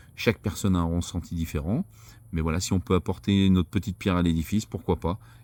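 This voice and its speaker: This man's voice is very deep and low. He talks at a fairly quick pace with fairly even intonation. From France. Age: 50s. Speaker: vlogger, former bus driver. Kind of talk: vlog introduction. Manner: casual, slightly halting.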